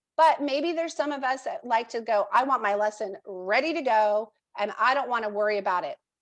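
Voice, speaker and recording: This is an unremarkable speaking voice with lively intonation, delivered at a moderate pace. The background is quiet. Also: woman. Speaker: educational technology trainer. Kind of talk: software training webinar.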